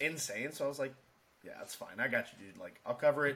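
This man has a plain, everyday voice at a medium pitch. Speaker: podcast host, Navy veteran. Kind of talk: casual chat podcast.

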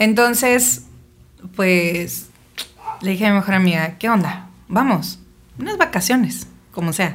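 A woman speaks at a fairly slow pace with lively intonation and vocal fry. Her long, frequent pauses are heard against audible room echo. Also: medium pitch for a woman. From Mexico, Sonora (Navojoa). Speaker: singer. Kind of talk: casual interview. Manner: animated.

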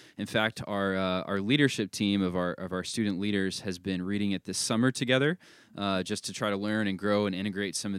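A man with an unremarkable speaking voice talks fairly quickly at a fairly low pitch, his intonation fairly even. The recording is very clean, with a silent background. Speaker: podcast host. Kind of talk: casual discussion podcast.

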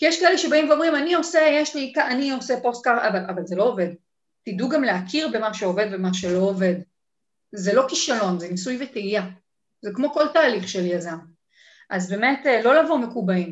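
Delivered at a fairly quick pace with long, frequent pauses, the speech shows very wide pitch swings. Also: woman, fairly high pitch for a woman. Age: 40s. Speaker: online entrepreneur and community manager. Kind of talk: casual interview.

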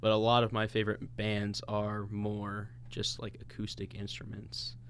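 This man's voice sits at a fairly low pitch and carries vocal fry. He speaks with an American accent. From US Midwest (St. Louis, Missouri). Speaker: podcast co-host. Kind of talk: casual chat. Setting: recording studio.

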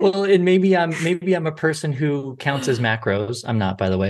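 A man's plain, everyday voice, with lively intonation and a fairly quick pace, over a quiet background. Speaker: podcast host and dietitian. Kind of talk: interview.

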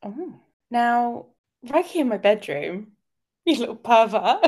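With a British accent, a woman speaks in a high pitch at a fairly slow pace. Her pitch makes very wide swings. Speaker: podcast co-host. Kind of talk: casual chat. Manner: animated.

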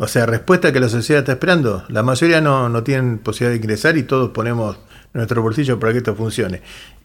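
A man with medium pitch talks at a very fast pace, with ordinary pitch variation. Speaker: union leader. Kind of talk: radio interview.

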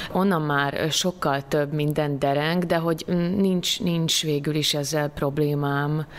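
A woman's very deep, low voice at a very slow pace, with very even loudness and fairly even intonation. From southern Slovakia (Hungarian minority, Szőgyén). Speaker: stage actress. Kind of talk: interview. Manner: hesitant, many fillers.

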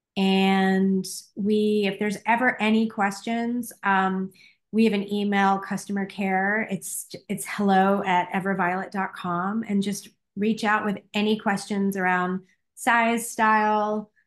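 Over a quiet background, a woman speaks at a medium pitch with monotone, flat intonation. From Boston. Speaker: breast cancer survivor and business founder. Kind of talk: casual interview.

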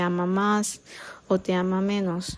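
The woman's tone is dark and mellow. She speaks at a very slow pace. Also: very clean recording, silent background. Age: 20s. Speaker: podcaster. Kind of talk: casual monologue. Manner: halting.

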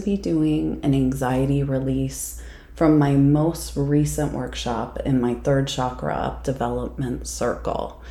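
A woman talks at a very slow pace. Background noise is noticeable. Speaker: psychic medium. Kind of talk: guided meditation. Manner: slow, soothing, calm; gentle, unhurried with pauses.

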